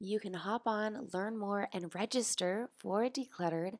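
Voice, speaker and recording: Dry and close with no echo, the recording captures a woman at medium pitch. She speaks at a fairly slow pace. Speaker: podcast host. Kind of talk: scripted podcast intro. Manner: animated.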